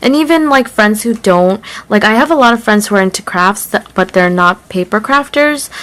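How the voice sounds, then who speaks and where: Lively intonation marks this woman's speech. She keeps a moderate pace. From United States, Korean-American. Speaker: craft YouTuber. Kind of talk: haul video, casual talk to camera. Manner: some stumbling, tongue-tied.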